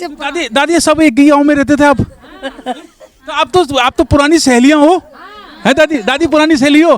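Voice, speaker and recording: Noticeable background noise accompanies a man talking in an extremely high pitch at a moderate pace. His intonation is fairly even, and he leaves long, frequent pauses. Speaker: community radio interviewer. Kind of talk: interview questions.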